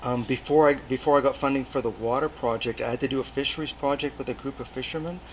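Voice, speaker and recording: In a British Columbian accent, a man with a fairly high pitch talks very fast with fairly even intonation and hardly any pauses. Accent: Canadian (British Columbia). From Canada, Port Alberni, British Columbia. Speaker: overseas development volunteer, agriculture teacher. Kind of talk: interview.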